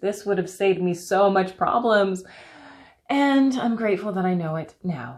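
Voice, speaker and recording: A woman with a Canadian accent, medium pitch, animated tone, lively intonation, and moderate pace. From Canada. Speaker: health and wellness coach. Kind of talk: solo podcast monologue.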